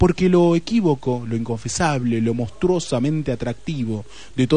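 Lively intonation runs through this plain reading aloud.

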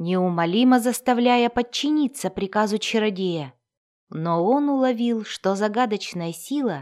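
An unforced reading voice is heard. Nothing intrudes from the background, which stays quiet.

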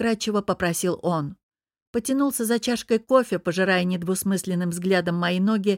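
This is a natural reading voice with ordinary pitch variation. Behind it, the background is quiet.

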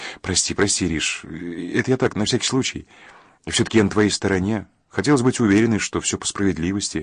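Pitch shifts in an ordinary way through an unforced reading voice.

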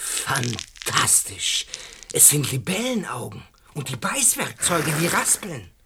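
Putting on a character voice, a man speaks slowly at a fairly high pitch with very wide pitch swings, vocal fry and a bright, sharp tone.

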